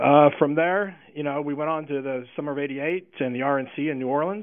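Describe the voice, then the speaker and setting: An unremarkable speaking voice from a man, fairly high in pitch, at a fairly quick pace. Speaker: political advance man. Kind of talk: interview.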